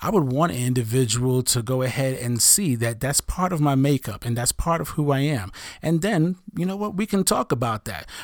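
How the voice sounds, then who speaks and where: At a moderate pace, a man with an American accent talks in an unremarkable speaking voice of medium pitch, with lively intonation. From US Northeast (Brooklyn, New York). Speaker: therapist. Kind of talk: casual chat. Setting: studio.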